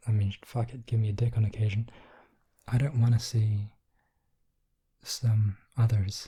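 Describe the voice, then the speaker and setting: A soft-spoken man talks at a medium pitch, sounding somewhat breathy. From England. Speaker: ASMR artist. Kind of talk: ASMR soft-spoken rant.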